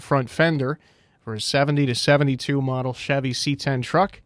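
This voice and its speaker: Monotone and flat, a man's medium-pitched voice moves at a fairly quick pace. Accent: American. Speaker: radio call-in show host. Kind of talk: radio call-in swap show.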